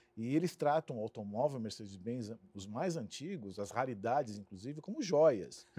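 This man speaks with a medium pitch and lively intonation at a moderate pace, with hardly any pauses. His loudness swings widely. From São Paulo, Brazil (Santo André, ABC region). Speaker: marketing executive. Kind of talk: interview. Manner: halting.

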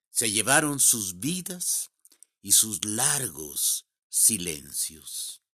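A man with a bright, sharp tone and vocal fry speaks very slowly at a medium pitch, with very wide pitch swings, on a very clean recording with a silent background. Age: 70s. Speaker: poet. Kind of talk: poetry reading.

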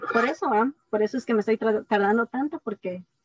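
A woman's fairly high voice with ordinary pitch variation and a dry, close sound with no echo. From Guatemala. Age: 20s. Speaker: scientist. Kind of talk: interview.

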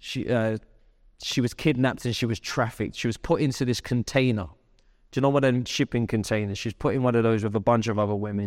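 The recording is very clean, with a silent background. A man speaks at a fairly quick pace in a medium pitch with ordinary pitch variation. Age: 30s. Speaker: pastor. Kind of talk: sermon. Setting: church.

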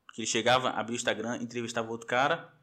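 A man with a bright, sharp tone. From Florianópolis, Brazil. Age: 30s. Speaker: samba and pagode social media page runner. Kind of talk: casual chat.

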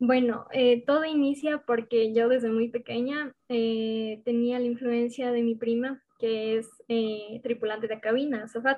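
A woman speaks at a high pitch with monotone, flat intonation. Her pace is fairly slow, with hardly any pauses. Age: 20s. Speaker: university student and club member. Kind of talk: interview.

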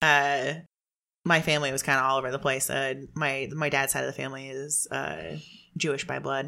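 Heard in a very clean recording with a silent background, a woman speaks with a very deep, low pitch. Her tone is bright and sharp, with vocal fry. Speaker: podcast host. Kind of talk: casual chat. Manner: animated; fast talker.

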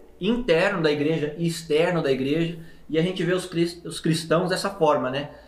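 Noticeable background noise and audible room echo. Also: man. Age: 30s. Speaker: podcast host, pastor. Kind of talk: casual interview chat.

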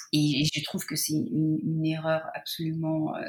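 A woman's very deep, low voice comes through somewhat breathy. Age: 40s. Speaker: patient sharing fertility story. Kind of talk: testimony. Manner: halting, many hesitations.

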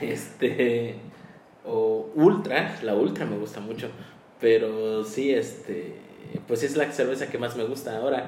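A man's medium-pitched voice at a very slow pace, with ordinary pitch variation and audible room echo. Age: 20s. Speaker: podcast co-host. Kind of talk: casual chat.

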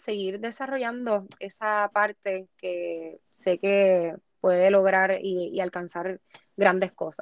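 A woman speaks at a very slow pace and a medium pitch. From Puerto Rico. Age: 20s. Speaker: beauty pageant contestant. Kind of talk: interview.

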